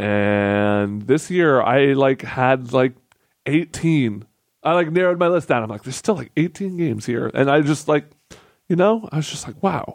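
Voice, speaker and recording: A man's ordinary speaking voice at a moderate pace, with lively intonation. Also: fairly high pitch for a man. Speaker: podcast co-host. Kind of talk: casual chat. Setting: studio, live stream with chat.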